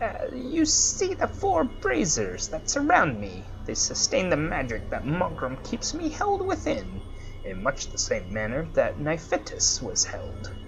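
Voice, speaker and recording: A man puts on a character voice and speaks at a fairly slow pace through loud background noise. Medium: actual play. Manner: haughty, condescending.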